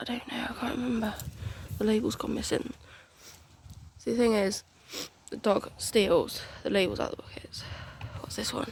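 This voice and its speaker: Long, frequent pauses break up moderate-paced speech in a British accent, with noticeable background noise. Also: woman. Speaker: home gardener. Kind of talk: casual garden tour talk to camera. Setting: outdoors.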